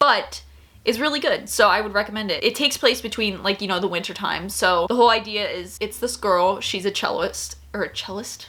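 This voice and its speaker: A woman talks at a fairly quick pace in an animated tone, her loudness swinging widely over noticeable background noise. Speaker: YouTuber reviewing K-dramas. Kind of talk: casual vlog recommendations. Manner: fast.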